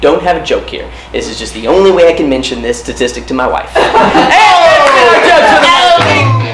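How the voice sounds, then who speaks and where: Loud background noise surrounds a man's voice. He speaks at a moderate pace with hardly any pauses. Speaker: comedy host. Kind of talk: stand-up style news jokes monologue. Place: stage.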